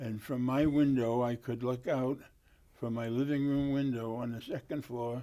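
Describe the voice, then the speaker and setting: A man with a Boston accent speaks at a moderate pace in a medium pitch, his tone dark and mellow and his intonation flat and monotone. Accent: Boston-area New England. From Massachusetts, Lynn (North Shore). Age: 80s+. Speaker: war veteran. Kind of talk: oral history interview. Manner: halting, many fillers.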